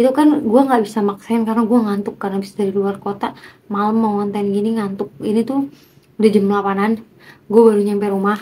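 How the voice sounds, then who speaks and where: A woman's fairly high voice, dark and mellow in tone, with monotone, flat intonation. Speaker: vlogger doing a speaking challenge. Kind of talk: casual vlog monologue to camera. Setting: at home, talking to camera. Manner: unscripted, spontaneous.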